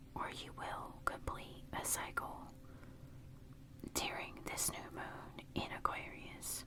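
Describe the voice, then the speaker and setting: The whispering unfolds at a very slow pace. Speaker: tarot reader. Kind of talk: ASMR tarot reading. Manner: whispered, soft.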